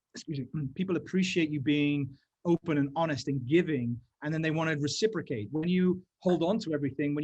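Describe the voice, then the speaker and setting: The voice is somewhat breathy, moving at a very fast pace with ordinary pitch variation. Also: man. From England, grew up on RAF bases. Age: 40s. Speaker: stem cell scientist and entrepreneur. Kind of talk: interview conversation.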